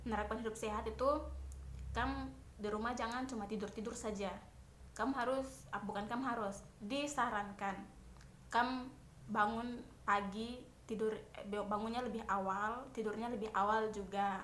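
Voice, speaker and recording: Speaking with a Papuan accent, a woman delivers her words in a monotone, flat intonation. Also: fairly high pitch for a woman, moderate pace. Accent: Papuan Indonesian. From Papua, Indonesia. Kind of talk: casual talk to camera while doing makeup. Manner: chatty, informal.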